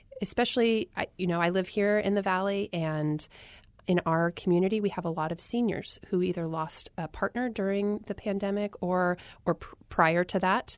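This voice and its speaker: A woman with a General American accent has an unremarkable speaking voice at medium pitch, speaking at a moderate pace with fairly even intonation over a quiet background, the sound dry and close with no echo. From Arizona. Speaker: public health worker and author. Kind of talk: interview.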